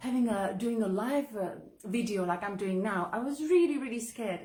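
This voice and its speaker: A woman with a non-native accent, medium in pitch and somewhat breathy, animated at a fairly slow pace, with ordinary pitch variation and audible room echo. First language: not English. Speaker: author and online entrepreneur. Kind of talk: live video monologue. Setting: live video.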